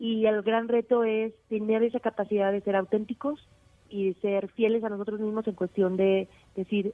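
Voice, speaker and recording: A woman speaks in a fairly high pitch at a fairly slow pace. Her intonation is monotone and flat. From Mexico, Aguascalientes. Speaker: mountaineer. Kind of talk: interview. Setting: phone call.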